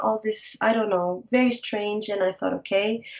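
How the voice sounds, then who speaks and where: A woman speaks at medium pitch with a Portuguese accent. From Portugal, Lisbon. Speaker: fiber artist. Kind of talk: interview. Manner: halting.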